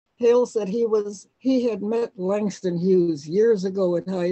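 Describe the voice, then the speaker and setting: A woman with a Midwestern US accent speaks at a moderate pace with fairly even intonation. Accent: US Midwest. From Cleveland, Ohio, US. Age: 90s. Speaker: music publisher. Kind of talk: interview storytelling.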